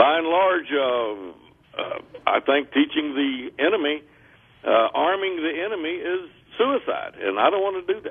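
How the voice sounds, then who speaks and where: In a Texan accent, a man speaks at a fairly slow pace. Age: 60s. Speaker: gun store owner. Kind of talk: radio interview. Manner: halting.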